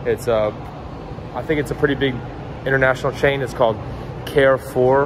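A man speaks at a fairly quick pace. Noticeable noise sits in the background. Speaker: vlogger. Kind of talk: casual vlog chat. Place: garage. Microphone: phone near.

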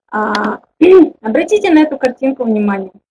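Light background noise sits behind a woman's voice. She speaks at a fairly slow pace. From Kazakhstan. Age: 20s. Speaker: network marketing director; webinar presenter. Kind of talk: online webinar presentation. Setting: webinar with online audience. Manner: informal, hesitant, with fillers. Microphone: webcam.

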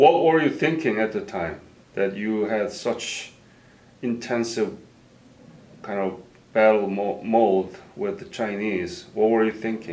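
A man with a fairly low pitch speaks at a very slow pace. He uses ordinary pitch variation and long, frequent pauses. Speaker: interviewer. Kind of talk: oral history interview. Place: office.

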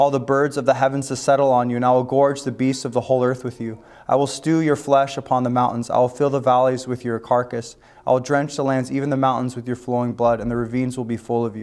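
With monotone, flat intonation, a man speaks at a very fast pace. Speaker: pastor. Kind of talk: sermon. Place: hall. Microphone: lapel.

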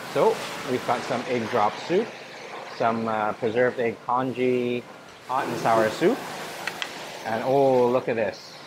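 Noticeable background noise sits behind the recording. A man speaks very slowly. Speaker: food vlogger. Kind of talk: casual vlog commentary. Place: hall. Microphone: lapel.

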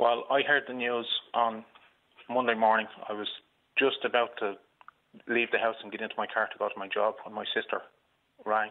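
A man with a Dublin accent talks at a fairly quick pace and a medium pitch, his intonation monotone and flat, with long, frequent pauses and big swings in loudness. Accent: Dublin Irish. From Ireland. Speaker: caller, uncle of a shooting victim. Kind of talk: radio phone-in. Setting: phone call from hospital. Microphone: phone line.

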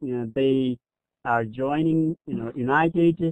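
The speaker uses lively intonation in a Nepali accent. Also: man. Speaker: teacher. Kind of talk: webinar presentation. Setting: online webinar.

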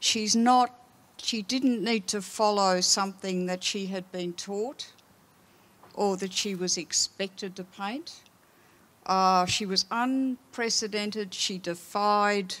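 A woman talks at a very slow pace with an Australian accent. Her intonation stays fairly even. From Australia, Melbourne. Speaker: art historian and curator; panelist. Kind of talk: panel discussion. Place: stage. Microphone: handheld.

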